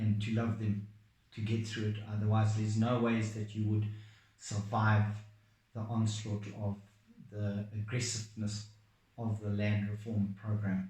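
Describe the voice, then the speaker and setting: With long, frequent pauses, a man speaks fairly slowly in a dark, mellow, somewhat breathy tone, his intonation flat and monotone, and the room echoes audibly. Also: fairly low pitch for a man. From Zimbabwe. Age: 60s. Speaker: farmer. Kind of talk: testimony.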